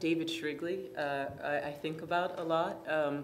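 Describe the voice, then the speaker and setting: A woman's flat, monotone delivery with audible room echo. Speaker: artist. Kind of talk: onstage conversation. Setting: conference stage with audience. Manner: halting, many fillers and restarts; loud.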